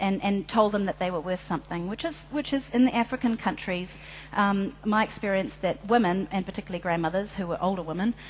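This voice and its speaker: A woman at a very fast pace, with medium pitch and ordinary pitch variation. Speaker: filmmaker and social change advocate. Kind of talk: conference presentation. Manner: hesitant, many fillers.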